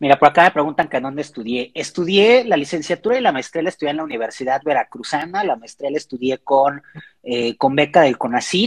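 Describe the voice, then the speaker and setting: Heard in a dry, close sound with no echo, a man uses a plain, everyday voice with lively intonation and a fairly high pitch. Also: fairly quick pace. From Mexico, Xalapa, Veracruz. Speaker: philosophy doctoral student and university lecturer. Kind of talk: casual interview. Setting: at home, remote call.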